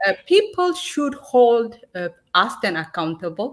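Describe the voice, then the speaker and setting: In a very clean recording with a silent background, a woman with an Ethiopian accent speaks at a fairly high pitch. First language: Amharic. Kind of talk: heated debate. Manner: halting.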